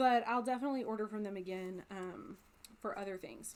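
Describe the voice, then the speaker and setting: A woman with an ordinary speaking voice, an American accent, fairly high pitch, lively intonation and a fairly quick pace. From United States. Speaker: crafting video creator. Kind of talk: casual chat. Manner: casual with fillers.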